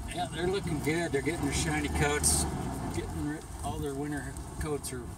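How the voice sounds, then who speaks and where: Loud background noise sits behind a man speaking at a moderate pace. The sound is dry with no echo. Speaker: sanctuary guide. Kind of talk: casual tour commentary. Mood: warm, affectionate. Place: car. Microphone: camera far.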